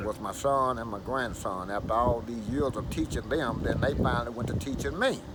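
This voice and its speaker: A man talks at a medium pitch with ordinary pitch variation, at a fairly quick pace with hardly any pauses. Noticeable background noise runs underneath. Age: 70s. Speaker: flatbed truck owner operator. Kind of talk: interview answer.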